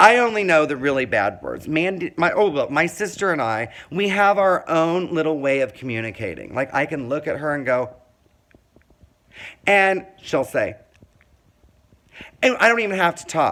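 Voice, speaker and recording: A loud, animated man's voice, fairly high in pitch, with a bright, sharp tone, lively intonation, a moderate pace and long, frequent pauses. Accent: American. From Indiana, small town. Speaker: vlogger telling life story. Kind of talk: personal monologue.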